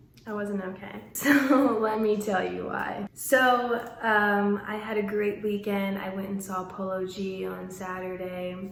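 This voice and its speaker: A woman talks at a fairly slow pace with hardly any pauses and fairly even intonation. Audible room echo and noticeable background noise surround her voice. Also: medium pitch for a woman. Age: 20s. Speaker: vlogger. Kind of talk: storytime vlog.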